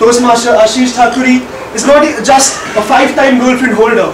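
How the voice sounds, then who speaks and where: The speech moves at a moderate pace in a monotone, flat intonation. Noticeable background noise runs underneath. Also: man, extremely high pitch for a man. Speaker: speaker. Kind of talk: humorous prepared speech. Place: meeting room. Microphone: camera far.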